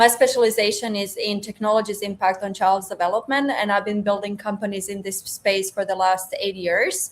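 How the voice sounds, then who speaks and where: A woman speaks at medium pitch and a fairly quick pace, with hardly any pauses. Her intonation is monotone and flat, over noticeable background noise. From Croatia. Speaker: robotics research founder. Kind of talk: panel guest introduction.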